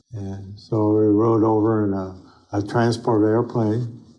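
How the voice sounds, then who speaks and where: The voice moves at a fairly slow pace in a flat monotone. Its tone is dark and mellow. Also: man. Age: 80s+. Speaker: Marine Corps veteran of World War II. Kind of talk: interview answer. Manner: conversational, hesitant.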